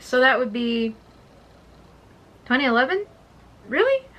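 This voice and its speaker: A quiet woman's voice, fairly high in pitch. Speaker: music vlogger. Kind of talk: casual vlog monologue. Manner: hesitant, many fillers; trying to speak quietly.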